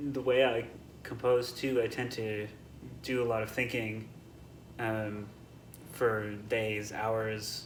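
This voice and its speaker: With audible room echo around him, a man talks in a monotone, flat intonation. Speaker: composer. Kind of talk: interview answers. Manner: soft-spoken; halting, many fillers and restarts.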